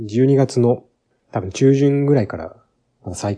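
In a quiet background, a man's voice comes through with a dark, mellow tone. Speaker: game podcast host. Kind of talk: casual solo talk.

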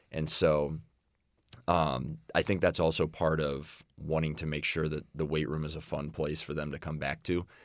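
At a moderate pace, a man with an American accent speaks in a very deep, low voice that is flat and monotone, with vocal fry. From Illinois. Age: 20s. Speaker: college strength and conditioning coach. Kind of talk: podcast interview.

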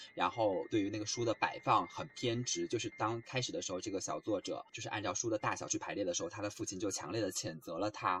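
With a fairly low pitch and ordinary pitch variation, the man speaks very fast. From China. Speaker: student radio book show co-host. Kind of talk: book discussion.

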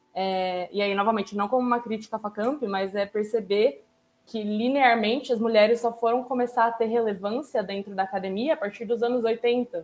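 Intonation stays fairly even in this woman's speech. She talks at a moderate pace. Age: 20s. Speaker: international relations graduate. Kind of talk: casual discussion panel.

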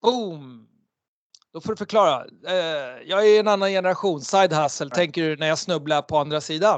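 At a moderate pace and high pitch, a man speaks with ordinary pitch variation and long, frequent pauses. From Sweden. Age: 40s. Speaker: entrepreneur and author. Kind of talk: interview. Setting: video call.

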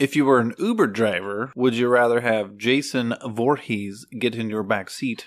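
Here a man speaks at a medium pitch. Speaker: host's partner. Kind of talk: casual chat.

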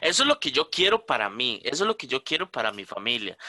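With very wide pitch swings, a man talks at a fairly quick pace in a dry, close sound with no echo. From Costa Rica, San Rafael de Moravia. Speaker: podcast co-host. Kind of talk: casual chat.

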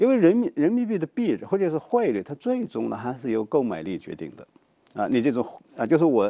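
Pitched fairly high, a man talks at a fairly quick pace. His pitch swings very widely and his loudness varies greatly. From rural China. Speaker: economics professor. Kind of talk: talk show discussion.

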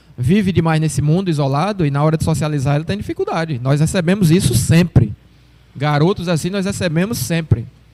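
A man with a plain, everyday voice talks at a fairly quick pace, fairly high in pitch, with ordinary pitch variation. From Brazil, Sergipe interior. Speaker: retired footballer. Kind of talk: casual interview.

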